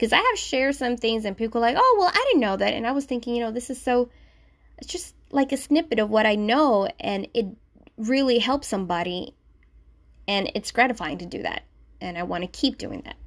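The speech moves at a fairly quick pace with lively intonation and big swings in loudness. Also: woman, high pitch for a woman. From Puerto Rico. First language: Spanish. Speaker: podcast host and sewing blogger. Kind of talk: casual solo podcast intro. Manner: informal, conversational.

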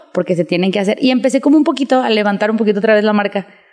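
Over noticeable background noise, a woman talks in a fairly high voice with lively intonation. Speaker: fashion designer. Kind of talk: casual chat.

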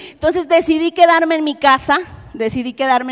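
A high-pitched woman's voice with ordinary pitch variation and a Mexican accent. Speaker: preacher. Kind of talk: sermon.

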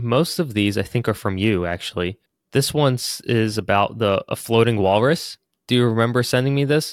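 An unremarkable speaking voice at a moderate pace with very even loudness, in a very clean recording with a silent background. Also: man, medium pitch for a man, ordinary pitch variation. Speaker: podcast co-host. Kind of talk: casual chat.

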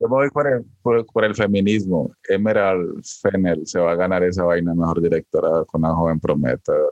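A man with a very deep, low pitch talks at a moderate pace, with ordinary pitch variation. He barely pauses at all. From rural Colombia. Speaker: podcast co-host. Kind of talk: casual chat. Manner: halting, many fillers.

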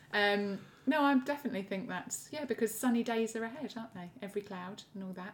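Her loudness rises and falls in big swings. The woman speaks at a very fast pace. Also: ordinary pitch variation. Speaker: podcast co-host. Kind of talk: casual banter.

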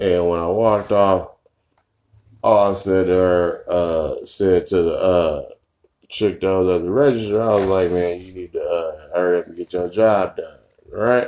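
Speaking at a fairly slow pace, a man with a very deep, low pitch and a dark, mellow tone keeps a fairly even intonation while his loudness swings widely. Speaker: podcast co-host. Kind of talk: casual chat. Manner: loud, voice carries.

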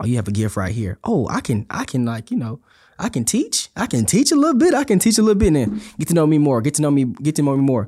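A man with an American accent speaks at a very fast pace with very wide pitch swings. His fairly high voice is somewhat breathy, with a dark, mellow tone. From Houston, Texas. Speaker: university resident director, former college basketball player. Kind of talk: casual faith-based podcast chat.

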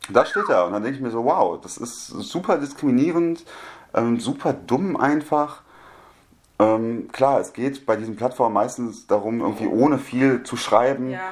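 A plain, everyday voice moves at a moderate pace with ordinary pitch variation and big swings in loudness. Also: man, medium pitch for a man. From Germany. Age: 20s. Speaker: media studies student. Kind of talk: casual chat.

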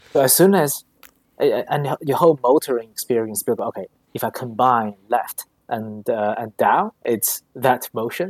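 A man speaks in a normal speaking voice at medium pitch, with lively intonation and a moderate pace. The sound is dry and close, with no echo. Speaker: app founder. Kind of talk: casual chat.

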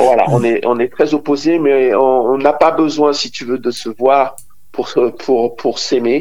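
A man's medium-pitched voice moves at a very slow pace, its intonation fairly even. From Côte d'Ivoire. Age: 50s. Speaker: DJ and music producer. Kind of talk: radio interview. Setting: phone call. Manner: hesitant, many fillers.

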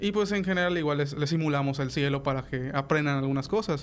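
Ordinary pitch variation marks a man's fairly high voice as he talks at a very fast pace. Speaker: astronomy club representative, engineering graduate. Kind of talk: radio interview. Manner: halting, many fillers and repetitions.

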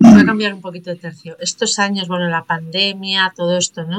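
Her intonation is fairly even as this woman speaks at a fairly slow pace. Her pitch sits fairly low. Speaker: podcast host, coach. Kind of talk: interview; scripted narration.

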